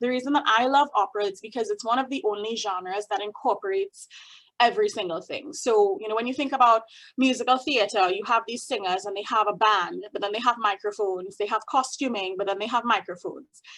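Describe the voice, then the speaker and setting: With a Trinidadian accent, a woman delivers her words at a very fast pace, her fairly high pitch showing ordinary variation. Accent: Trinidadian, up-and-down sing-song. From Trinidad and Tobago. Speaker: opera singer and music doctor. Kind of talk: talk to a group. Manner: animated.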